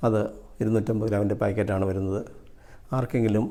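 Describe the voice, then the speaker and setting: Here a man speaks at a fairly low pitch with a dark, mellow tone. His intonation stays monotone and flat. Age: 60s. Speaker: customer and product distributor. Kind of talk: testimony.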